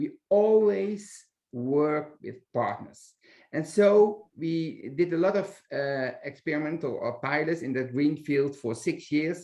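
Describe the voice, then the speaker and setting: A man's fairly high voice with a Dutch accent, a dark, mellow tone, lively intonation and a very slow pace. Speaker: library director. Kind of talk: webinar interview. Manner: halting, many hesitations.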